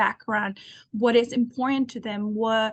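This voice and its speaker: Against a quiet background, a woman with a Spanish accent speaks at a moderate pace in a somewhat breathy, fairly high voice with monotone, flat intonation. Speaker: alumni career panelist. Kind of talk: panel discussion.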